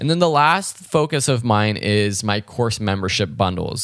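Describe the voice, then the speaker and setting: American accent at a moderate pace, in a very clean recording with a silent background. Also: man. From US West Coast, Los Angeles. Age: 20s. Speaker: podcast host and online course creator. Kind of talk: solo monologue, casual.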